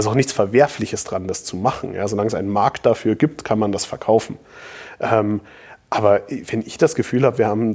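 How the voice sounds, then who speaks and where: A medium-pitched male voice with a dark, mellow tone at a fairly quick pace. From Bavaria, Munich. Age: 30s. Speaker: entrepreneur and author. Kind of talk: interview.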